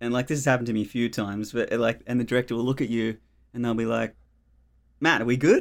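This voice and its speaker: Medium-pitched man with an Australian accent on a very clean recording, silent background. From Australia, Melbourne outer eastern suburbs. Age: 30s. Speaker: cinematographer. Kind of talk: casual interview chat.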